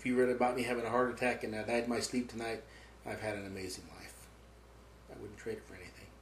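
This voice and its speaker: Man talking at a very fast pace, monotone and flat, loudness swinging widely, noticeable background noise behind him. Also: medium pitch for a man. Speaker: war veteran. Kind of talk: interview answer.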